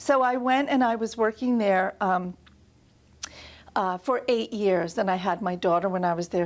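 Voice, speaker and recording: A woman speaks in a New York accent at a medium pitch. Her pace is moderate, and the background is quiet. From New York, Long Island. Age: 60s. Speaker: art museum director. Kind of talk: interview.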